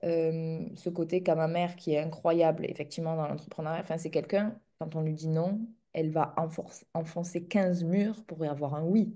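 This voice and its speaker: Against a quiet background, a woman talks with a dark, mellow tone at a fairly low pitch. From southern France, near Montpellier. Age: 30s. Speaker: entrepreneur in the equestrian business. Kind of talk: interview conversation.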